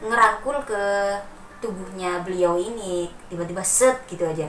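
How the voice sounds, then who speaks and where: Noticeable background noise behind a woman's medium-pitched voice, moderate in pace. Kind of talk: casual horror story telling, bedtime story.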